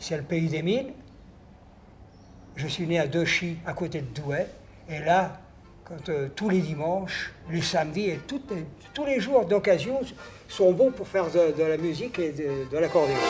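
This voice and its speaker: A man's high-pitched voice with lively intonation, at a fairly slow pace with long, frequent pauses, music in the background. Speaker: accordionist. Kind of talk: reminiscing interview. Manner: halting, with many hesitations.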